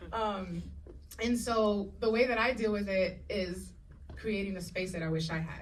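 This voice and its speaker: A woman talks at a fairly slow pace with a Spanish accent. Her pitch is medium, and audible room echo can be heard. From Puerto Rico and Dominican Republic. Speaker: actress and showrunner. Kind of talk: panel discussion. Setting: stage with audience. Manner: animated.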